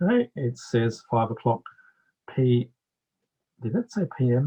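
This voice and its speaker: A somewhat breathy voice that speaks with long, frequent pauses. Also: man, dry, close sound with no echo. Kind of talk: product demonstration. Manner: casual, explanatory.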